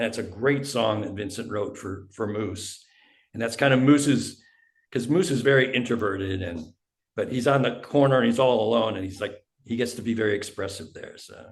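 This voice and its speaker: Big swings in loudness run through a somewhat breathy voice. The pace is fairly quick, and pitch variation is ordinary. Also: man, medium pitch for a man. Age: 70s. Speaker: indie musician. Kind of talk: interview.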